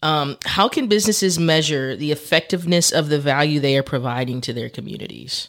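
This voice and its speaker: With an American accent, this man speaks in an unremarkable speaking voice, fairly high-pitched, with ordinary pitch variation, at a fairly quick pace and hardly any pauses. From Texas. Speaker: podcast host. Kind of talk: casual interview. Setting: studio.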